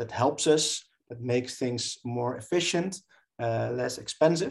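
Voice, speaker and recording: A man with a Dutch accent at a fairly slow pace. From southern Netherlands. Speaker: professor. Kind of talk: interview. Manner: halting.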